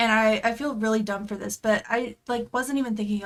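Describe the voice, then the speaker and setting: An American accent comes from a woman with a fairly high pitch and fairly even intonation, an ordinary speaking voice. The recording is very clean, with a silent background. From Tennessee, US South. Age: 20s. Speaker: podcast co-host and streamer. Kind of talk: casual chat.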